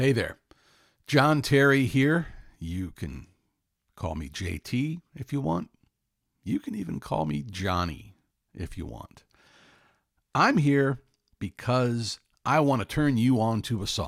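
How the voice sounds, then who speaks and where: In a very clean recording with a silent background, a man of medium pitch speaks at a very slow pace, his pitch swinging very widely between long, frequent pauses. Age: 60s. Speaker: music recommendation vlogger. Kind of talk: casual monologue. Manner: conversational, with fillers.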